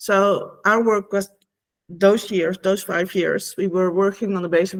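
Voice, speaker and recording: Talking at a fairly quick pace, a woman with a Dutch accent keeps a medium pitch and fairly even intonation. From Netherlands. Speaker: former EU official and whistleblower. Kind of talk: online talk. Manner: halting, many fillers.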